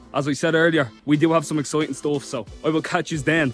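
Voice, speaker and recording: Faint music plays in the background as a man talks at a fairly quick pace, the sound dry with no echo. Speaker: social media creator. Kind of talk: casual vlog chat. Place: street. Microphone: phone near.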